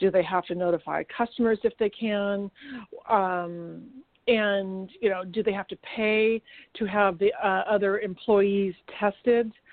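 A woman with a medium pitch speaks at a fairly slow pace. Her intonation is flat and monotone. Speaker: chamber of commerce co-host. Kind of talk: radio talk show banter.

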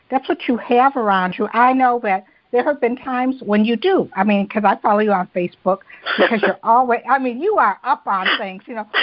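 Using a plain, everyday voice, a woman with an American accent talks at a fairly quick pace, her fairly high pitch showing ordinary variation. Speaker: podcast host. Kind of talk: interview.

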